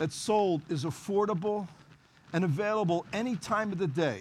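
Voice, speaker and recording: Using ordinary pitch variation, a man speaks at a high pitch with a Philadelphia accent. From US Northeast (Philadelphia, Kensington). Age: 50s. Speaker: pastor and boxing trainer. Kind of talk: sermon.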